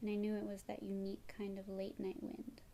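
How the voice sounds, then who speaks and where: Soft-spoken and somewhat breathy, a woman talks at a moderate pace with a medium pitch and a dark, mellow tone. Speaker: ASMR artist. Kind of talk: scary story narration.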